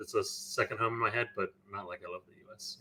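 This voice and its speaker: Bright and sharp in tone, the voice moves at a fairly quick pace with an American accent. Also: man. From United States. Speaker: tabletop wargaming player. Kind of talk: interview. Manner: halting, many fillers.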